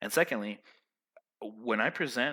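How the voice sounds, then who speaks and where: On a very clean recording with a silent background, a man speaks loudly in a bright, sharp tone. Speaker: vlogger giving life advice. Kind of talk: casual monologue. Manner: animated.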